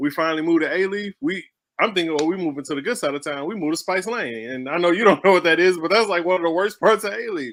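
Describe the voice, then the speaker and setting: Speaking at a very fast pace with a Southern US accent, a man uses a high pitch with ordinary variation. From Houston, Texas. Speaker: stage play writer, artist. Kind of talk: casual interview chat.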